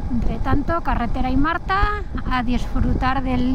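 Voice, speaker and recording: With loud noise behind her, a woman talks at a fairly slow pace. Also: dry sound with no echo. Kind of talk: casual vlog chat. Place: motorbike.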